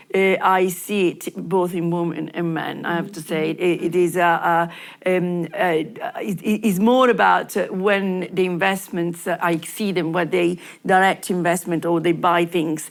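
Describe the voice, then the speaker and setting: A woman speaks with an Italian accent at a fairly slow pace, her pitch fairly low and her intonation fairly even. Noticeable background noise runs behind her. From Italy. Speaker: lawyer. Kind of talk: panel discussion. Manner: halting, many fillers and repetitions.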